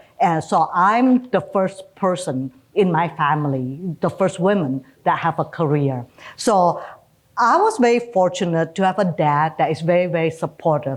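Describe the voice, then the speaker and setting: A woman with an Indonesian accent speaks at a moderate pace and a fairly low pitch, her intonation lively and her loudness very even. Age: 60s. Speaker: retired bank executive. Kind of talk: interview.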